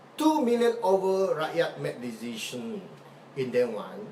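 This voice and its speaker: A man's high-pitched voice with very wide pitch swings, at a fairly slow pace, over noticeable background noise. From Sarawak, Malaysia. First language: Malay or other Malaysian language. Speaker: political activist. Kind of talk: live video talk. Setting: live Facebook video. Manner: halting, repetitive.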